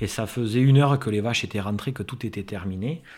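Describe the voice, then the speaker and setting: This man has an ordinary speaking voice with a fairly low pitch. He moves at a fairly quick pace. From Landes, southwest France. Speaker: lifelong friend, festival-goer. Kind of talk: interview storytelling.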